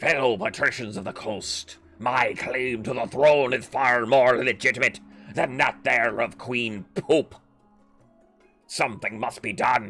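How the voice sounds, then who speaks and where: A man puts on a character voice at a medium pitch. He goes at a fairly slow pace over faint music in the background. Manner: calm.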